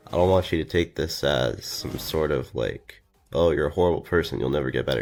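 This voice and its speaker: With music behind, the voice moves at a fairly quick pace and ordinary pitch variation. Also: man, very deep, low pitch for a man. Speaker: drama commentary YouTuber. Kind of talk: video outro monologue.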